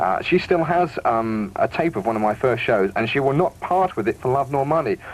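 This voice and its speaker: With a British accent, a man talks at a very fast pace in a medium pitch, his intonation lively. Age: 20s. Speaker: radio DJ. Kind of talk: radio interview. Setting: radio studio.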